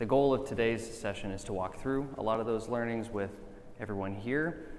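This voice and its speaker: A man with a fairly low pitch talks at a fairly quick pace, using ordinary pitch variation. Noticeable background noise and audible room echo fill the recording. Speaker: business partnerships director. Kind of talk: conference presentation. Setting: conference stage with audience. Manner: loud.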